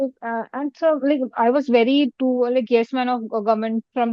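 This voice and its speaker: With fairly even intonation, an unremarkable speaking voice keeps a moderate pace. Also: woman. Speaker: exam candidate. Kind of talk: mock interview feedback.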